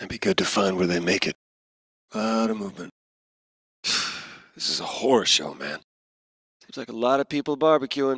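A man's put-on character voice, fairly low in pitch with a slightly husky edge and lively intonation, broken by long, frequent pauses, in a dry, close sound with no echo. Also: moderate pace.

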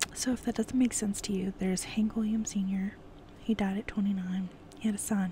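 A woman speaks in a relaxed tone with monotone, flat intonation at a moderate pace. The sound is dry with no echo, with light background noise. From California. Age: 20s. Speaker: ASMR YouTuber. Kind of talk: casual Q&A monologue. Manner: relaxed, giggly with frequent fillers. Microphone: earbuds.

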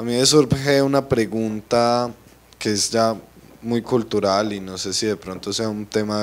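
At a slow pace, a man talks with a medium pitch and fairly even intonation.

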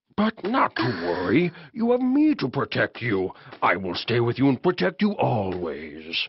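A man speaks at medium pitch in a cartoonish character voice. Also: moderate pace. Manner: wheedling, controlling.

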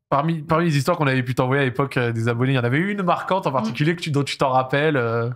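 A man speaks at a very fast pace with hardly any pauses and ordinary pitch variation against a quiet background. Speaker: talk show host. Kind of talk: casual interview. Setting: studio. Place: studio. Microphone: studio mic.

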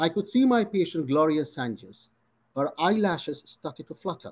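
A man talks at a moderate pace with lively intonation. His pitch sits high for a man. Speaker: physician. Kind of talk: interview Q&A. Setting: video call. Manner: formal. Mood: reflective, earnest. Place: home room. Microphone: video call.

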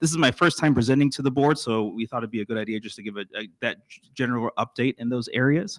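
A man with an American accent talks very fast at a medium pitch, with hardly any pauses and ordinary pitch variation. His loudness swings widely, and the sound is dry and close with no echo. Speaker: school district administrator. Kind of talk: presentation to school board. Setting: board meeting at podium. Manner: halting, frequent fillers and restarts.

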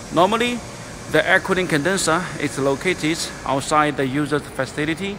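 Over noticeable background noise, a man speaks at a fairly quick pace with ordinary pitch variation. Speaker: factory seller showing machines. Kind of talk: product walkthrough commentary. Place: factory. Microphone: phone near.

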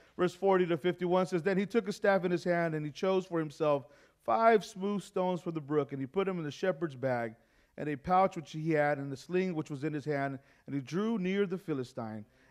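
Over a quiet background, a man talks at a moderate pace. His pitch is high, with ordinary variation. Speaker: preacher. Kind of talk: sermon. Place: church.

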